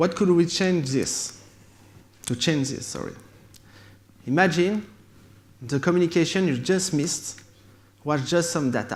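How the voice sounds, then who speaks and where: A man with a French accent speaks in a high pitch, with long, frequent pauses. Audible room echo surrounds his voice. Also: ordinary pitch variation, fairly slow pace. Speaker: tech company founder. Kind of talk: conference keynote. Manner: halting.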